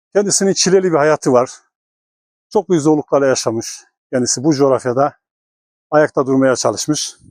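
A man with a fairly high pitch keeps his loudness very even and leaves long, frequent pauses. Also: ordinary pitch variation, moderate pace, dry, close sound with no echo. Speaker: documentary host. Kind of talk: documentary narration to camera.

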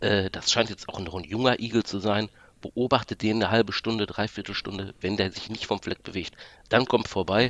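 An unremarkable speaking voice moves at a moderate pace with fairly even intonation and big swings in loudness. The sound is dry and close with no echo, over a quiet background. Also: man, fairly low pitch for a man. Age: 40s. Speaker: podcast listener guest. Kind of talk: casual chat. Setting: remote call from home office.

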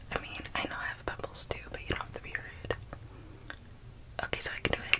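Whispering at a very fast pace. The tone is playful. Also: woman. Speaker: ASMR creator. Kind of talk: ASMR roleplay personal attention. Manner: playful, soft, personal-attention roleplay. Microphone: phone near.

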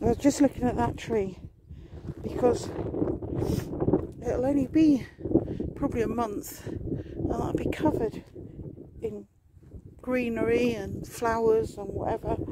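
Loud background noise accompanies speech at a very slow pace with long, frequent pauses, and the sound is dry with no echo. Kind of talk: casual vlog chat. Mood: relaxed, chatty. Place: open country. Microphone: phone near.

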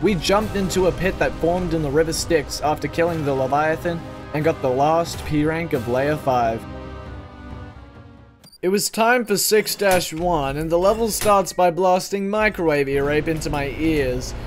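Music can be heard behind the voice. A man's delivery is moderately paced, with ordinary pitch variation. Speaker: gaming YouTuber. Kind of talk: gaming commentary voiceover.

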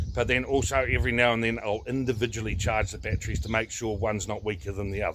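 Over light background noise, a man talks at a very fast pace. His pitch variation is ordinary. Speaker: tractor owner vlogger. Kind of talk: casual vlog chat. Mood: reflective, folksy humour. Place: open country. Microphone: phone near.

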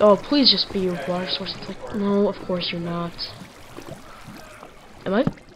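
Long, frequent pauses break up the speech. Background noise is noticeable. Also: moderate pace. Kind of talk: casual gameplay commentary.

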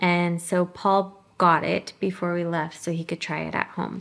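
Speaking fairly slowly, a woman delivers the words. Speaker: vlogger. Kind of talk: casual vlog chat. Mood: relaxed, cheerful. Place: home room.

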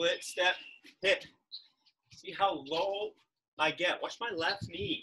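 Raised and projected, a man's bright, sharp voice moves at a very slow pace with ordinary pitch variation. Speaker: tennis fitness coach. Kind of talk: live online workout instruction. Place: garden. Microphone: camera far.

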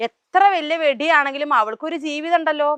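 A woman's voice comes through bright and sharp. The sound is dry and close with no echo, and the background is quiet. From Kerala, Palakkad. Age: 20s. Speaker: social media influencer. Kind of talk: interview.

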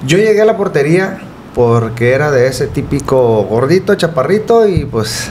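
Light background noise sits behind a man speaking. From Ciudad Juárez, Chihuahua, northern Mexico. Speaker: goalkeeper coach. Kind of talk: casual interview. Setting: studio. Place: home room. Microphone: studio mic.

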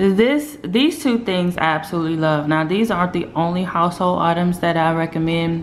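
A woman with a fairly low pitch uses lively intonation and very even loudness, with hardly any pauses. Light background noise sits behind her. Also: moderate pace. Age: 40s. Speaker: lifestyle vlogger; vlogger. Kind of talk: casual vlog monologue. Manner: animated. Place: home room. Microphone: phone near.

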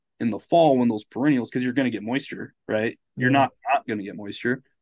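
Against a quiet background, a man talks at a very fast pace with fairly even intonation. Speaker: podcast guest. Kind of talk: casual explanatory conversation. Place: home room. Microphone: studio mic.

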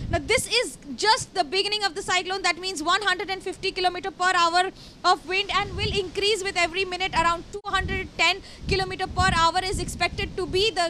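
A woman's raised, projected voice at a moderate pace, fairly even intonation, and light background noise. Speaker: field news reporter. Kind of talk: live news report. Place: street. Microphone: handheld.

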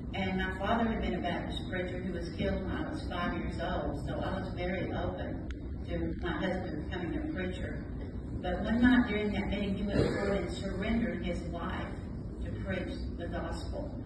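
Audible room echo and loud background noise surround a woman speaking at a moderate pace. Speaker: pastor's widow. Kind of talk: testimony. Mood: warm, reflective. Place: hall.

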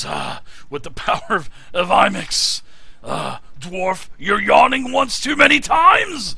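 A man's put-on character voice, extremely high-pitched, at a fairly slow pace. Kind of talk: fantasy game character. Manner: fierce, battle shout.

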